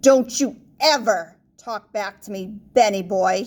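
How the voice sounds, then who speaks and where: A woman does a growling, put-on character voice at medium pitch and a fairly slow pace. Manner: menacing.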